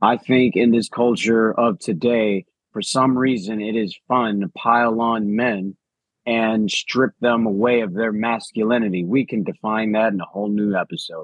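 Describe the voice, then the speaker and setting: A man's medium-pitched voice in a Chicago accent, fairly even in intonation, at a moderate pace. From Chicago, US. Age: 40s. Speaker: coach and podcast co-host. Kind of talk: casual chat.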